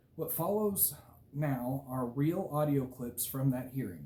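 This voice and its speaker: Very slow and somewhat breathy, a man speaks at medium pitch. His tone is dark and mellow. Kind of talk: prepared statement. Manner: clear, unimpaired speech.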